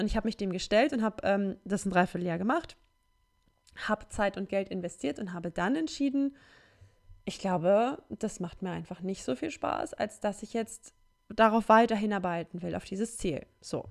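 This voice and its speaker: An ordinary speaking voice, a woman's, medium pitch, lively intonation and a moderate pace. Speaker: solo podcaster. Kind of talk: casual monologue.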